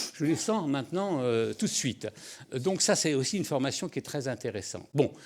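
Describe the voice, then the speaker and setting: At a moderate pace, the voice moves through very wide pitch swings on a very clean recording with a silent background. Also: man, fairly high pitch for a man. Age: 70s. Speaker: journalist and author. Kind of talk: interview.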